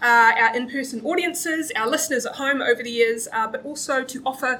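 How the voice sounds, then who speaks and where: In a New Zealand accent, a woman with a high pitch talks at a fairly quick pace in a raised, projected voice, with ordinary pitch variation. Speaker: comedy panel show host. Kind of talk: live comedy panel show. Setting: stage with live audience, streamed.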